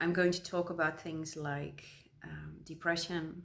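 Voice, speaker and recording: With a Dutch accent, a woman speaks in a very deep, low pitch and a monotone, flat intonation. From Netherlands. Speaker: crafting vlogger. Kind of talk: casual vlog monologue. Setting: at home. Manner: hesitant, many fillers.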